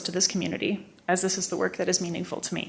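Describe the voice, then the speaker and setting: A woman with a fairly low pitch talks at a very fast pace in a shaky voice, over noticeable background noise. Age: 20s. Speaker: public hearing speaker. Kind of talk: public comment. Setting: council meeting.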